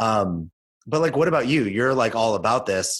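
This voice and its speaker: An ordinary speaking voice from a man with an American accent, medium pitch, moderate pace, on a very clean recording with a silent background. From Los Angeles, US. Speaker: podcast co-host. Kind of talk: casual chat.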